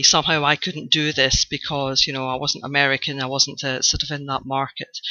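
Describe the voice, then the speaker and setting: A woman is speaking. She has a Scottish accent. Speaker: blogger, online course student. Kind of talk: video testimonial. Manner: hesitant, many fillers.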